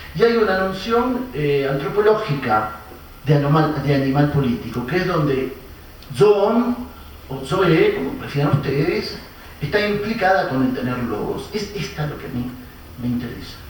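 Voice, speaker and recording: Over noticeable background noise and audible room echo, a man's voice moves in very wide pitch swings. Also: fairly high pitch for a man, fairly slow pace. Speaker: philosophy professor, conference speaker. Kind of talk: academic lecture. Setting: conference with live audience and interpreter. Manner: hesitant, many fillers.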